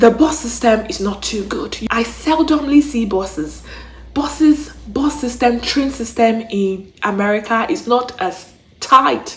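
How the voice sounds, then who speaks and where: With noticeable background noise behind her, a woman speaks at a fairly slow pace in an animated tone, her fairly high pitch carried by lively intonation. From Nigeria. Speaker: YouTuber, travel and relocation vlogger. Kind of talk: casual vlog monologue.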